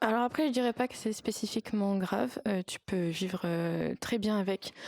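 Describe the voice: The tone is slightly mellow, with fairly even intonation. The sound is dry and close, with no echo. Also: woman.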